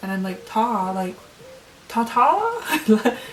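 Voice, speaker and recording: Noticeable background noise sits behind a woman with an American accent and a fairly high pitch. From Ohio, USA. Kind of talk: casual talk to camera.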